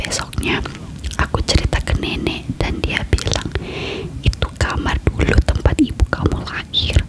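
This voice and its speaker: A fairly slow whisper over noticeable background noise. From Indonesia. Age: 20s. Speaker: ASMR creator. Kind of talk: ASMR horror story reading. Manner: soft-spoken.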